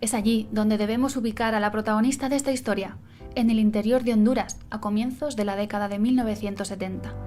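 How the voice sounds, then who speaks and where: Music plays behind a woman speaking at a very fast pace. Her voice is fairly high, with fairly even intonation. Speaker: illustrator, graphic designer. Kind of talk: biographical narration.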